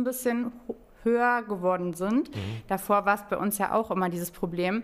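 Over music in the background, a woman speaks at medium pitch with ordinary pitch variation. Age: 20s. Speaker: real estate financing advisor at a bank. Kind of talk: podcast interview.

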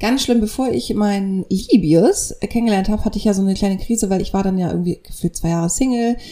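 A woman with a dark, mellow, somewhat breathy tone talks at a fairly quick pace, her medium pitch showing ordinary variation. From northern Germany (near Kiel). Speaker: podcast co-host, radio journalist. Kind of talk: casual chat. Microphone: poorly set-up microphone.

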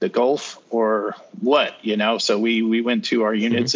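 A man with a plain, everyday voice and a General American accent speaks at medium pitch and a moderate pace. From northern Colorado. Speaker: retired army sergeant. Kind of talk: casual interview.

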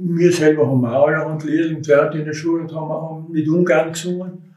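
There is audible room echo around a man speaking at a fairly high pitch. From Austria, Tyrol (Innsbruck-Mühlau). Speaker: contemporary witness, retired municipal utility worker and mountaineer. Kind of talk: oral history interview. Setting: recorded on location at home in the neighbourhood. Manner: halting.

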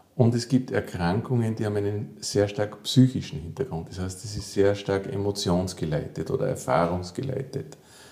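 A man talks at a fairly low pitch and moderate pace with ordinary pitch variation. He has hardly any pauses, and noticeable background noise is present. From Austria, Salzburg. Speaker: physiotherapist and psychotherapist. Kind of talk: interview. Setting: therapy practice.

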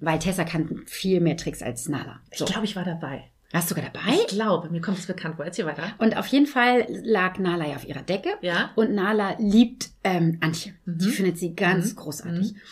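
A somewhat breathy woman at medium pitch, moderate pace with hardly any pauses and ordinary pitch variation. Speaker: dog trainer. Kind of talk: casual chat. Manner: laughs often.

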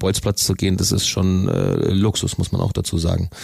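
A man speaks with a very deep, low pitch and a monotone, flat intonation. Noticeable background noise sits behind him. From Bavaria, Augsburg area (Königsbrunn). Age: 30s. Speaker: ice hockey player, team captain. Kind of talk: interview.

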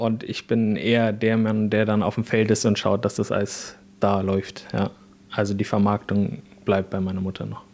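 At a moderate pace, the speaker talks in an unremarkable speaking voice. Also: man, fairly low pitch for a man. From Bavaria, south of Regensburg. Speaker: organic farmer. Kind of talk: interview.

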